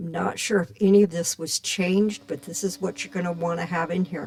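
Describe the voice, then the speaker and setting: The pace is moderate. There is noticeable noise in the background. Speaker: radio DJ. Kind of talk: tutorial. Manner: loud; casual.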